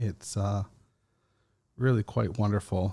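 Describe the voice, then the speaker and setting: A dark, mellow tone comes through at a fairly slow pace in a very clean recording with a silent background. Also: man. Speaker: podcast host. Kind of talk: casual monologue.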